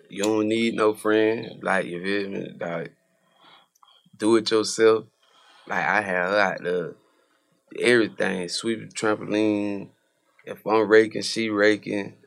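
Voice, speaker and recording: Fairly low-pitched man with an American accent, fairly even intonation and a fairly slow pace. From Quincy, Florida. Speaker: rapper. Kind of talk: casual interview.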